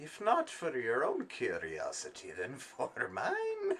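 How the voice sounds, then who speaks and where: A put-on character voice cackles at a fairly slow pace. Clear background noise is audible. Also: man, extremely high pitch for a man. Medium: actual play. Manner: cryptic, cackling.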